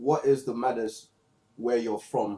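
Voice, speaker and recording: With a London accent, a man speaks at medium pitch in a dark, mellow tone and fairly even intonation. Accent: Multicultural London English. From London, England. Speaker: book discussion podcast host. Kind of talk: casual chat.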